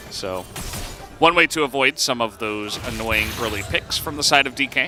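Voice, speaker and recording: A man talks at a moderate pace and a medium pitch, with ordinary pitch variation and music playing in the background. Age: middle-aged. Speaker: esports caster. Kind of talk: live commentary. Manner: animated.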